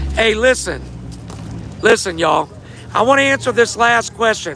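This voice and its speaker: A man talks at a moderate pace in a raised, projected voice. There is noticeable background noise. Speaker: fight event organizer. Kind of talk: livestream Q&A. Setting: livestream. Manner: casual, rambling.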